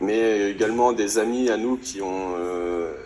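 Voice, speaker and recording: This man's intonation is fairly even. His pitch sits fairly low. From Normandy, France (Alençon). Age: 20s. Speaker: rally participant. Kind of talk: interview. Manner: hesitant, many fillers.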